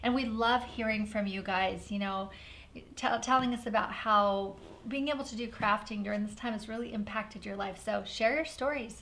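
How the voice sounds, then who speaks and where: A woman speaks at a fairly high pitch. Audible room echo surrounds her voice. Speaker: paper craft designer and channel host. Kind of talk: live craft stream chat. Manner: fast; animated.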